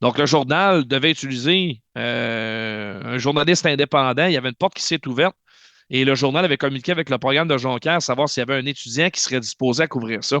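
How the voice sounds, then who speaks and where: Over a quiet background, a man talks loudly and fairly quickly in a bright, sharp tone at medium pitch with ordinary pitch variation, in a dry, close sound with no echo. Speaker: hockey play-by-play announcer. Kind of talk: interview, casual chat. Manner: fast.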